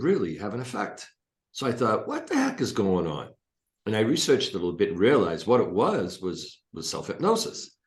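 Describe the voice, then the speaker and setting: A man's fairly quick speech with room echo that can be heard. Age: 60s. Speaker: hypnotist and coach. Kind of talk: interview.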